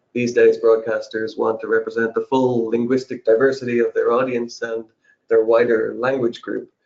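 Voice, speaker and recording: Speaking in an Irish accent, a man keeps a moderate pace. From Ireland. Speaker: subtitling services representative. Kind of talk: webinar discussion. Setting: online webinar.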